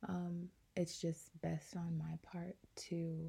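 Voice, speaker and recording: A woman's fairly low, somewhat breathy voice with a dark, mellow tone and monotone, flat intonation. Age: 20s. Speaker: podcast host. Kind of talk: solo podcast monologue.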